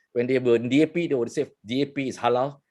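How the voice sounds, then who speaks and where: Against a quiet background, a man with a Malaysian accent talks at a fairly quick pace. His pitch is fairly high, with ordinary variation. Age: 60s. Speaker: journalist and interview host. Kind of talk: interview.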